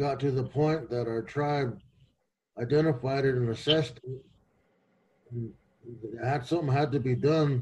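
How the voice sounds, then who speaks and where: Somewhat breathy, a man speaks at a moderate pace with fairly even intonation and long, frequent pauses. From Pine Ridge, South Dakota; South Dakota. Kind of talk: panel discussion. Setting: video call. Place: office. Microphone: video call.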